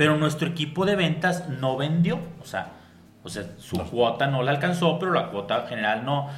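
With a Mexican accent and lively intonation, a man talks at a moderate pace in a fairly high pitch, with audible room echo and noticeable background noise. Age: 40s. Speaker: entrepreneur and podcast host. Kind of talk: casual interview.

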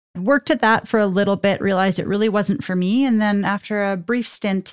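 Talking at a fairly quick pace, a woman with a Canadian accent has an ordinary speaking voice. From southern Alberta, Canada. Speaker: military spouse. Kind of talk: casual interview.

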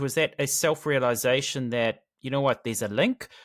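Over a very clean recording with a silent background, a man with a New Zealand accent speaks at a moderate pace with a fairly high pitch. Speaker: podcast host. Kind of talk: interview. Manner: hesitant, many fillers.

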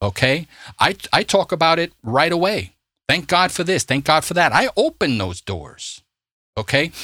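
Someone speaks with a New York accent at a moderate pace and with lively intonation. The recording is very clean over a silent background, with a dry, close sound and no echo. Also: man, high pitch for a man. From US Northeast, Brooklyn, New York City. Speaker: podcast host, Bible teacher. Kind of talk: religious discussion podcast; scripted outro. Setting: studio. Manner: animated.

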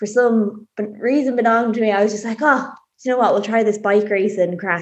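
With an Irish accent, a woman talks at a fairly quick pace. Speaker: amateur cyclist. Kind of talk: interview.

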